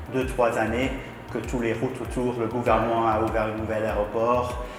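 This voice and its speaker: A man with a non-native accent speaks at a moderate pace in a medium pitch with monotone, flat intonation, with audible room echo and noticeable background noise. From London, England. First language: English (speaking French). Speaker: property developer. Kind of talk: interview. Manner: halting, frequent hesitations.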